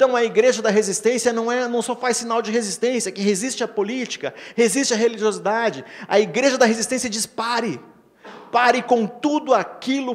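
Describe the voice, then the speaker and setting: This man speaks fairly quickly with a Paraná accent. His pitch is extremely high, and his intonation stays fairly even. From Brazil, Paraná. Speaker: pastor. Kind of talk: sermon. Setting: church. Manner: halting.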